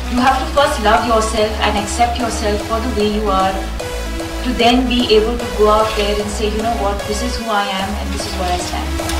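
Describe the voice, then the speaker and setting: Over clear background music, a woman talks at a moderate pace with hardly any pauses. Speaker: film actress. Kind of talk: interview answer. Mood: calm, earnest. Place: hall.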